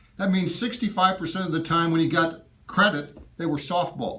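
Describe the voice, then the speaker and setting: A high-pitched man at a moderate pace, with audible room echo. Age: 70s. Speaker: constituent voicing complaint. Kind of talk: in-person complaint to a staffer. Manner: emphatic.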